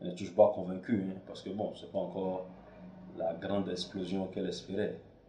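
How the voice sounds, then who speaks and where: A man speaks with a very deep, low pitch. There is audible room echo. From Togo, Lomé. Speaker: filmmaker and podcaster. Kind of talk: casual monologue. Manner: halting, many fillers.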